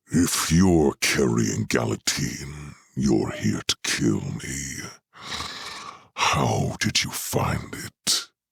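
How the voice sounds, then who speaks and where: Putting on a character voice, a man growls at a very slow pace in a raspy, very deep, low pitch. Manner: growling.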